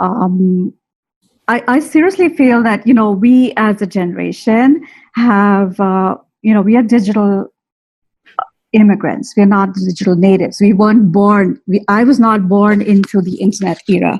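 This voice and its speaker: A woman speaks in a somewhat breathy voice. Her pitch is medium. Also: ordinary pitch variation, moderate pace. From India. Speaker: teacher. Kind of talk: webinar talk. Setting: live stream webinar. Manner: hesitant, many fillers.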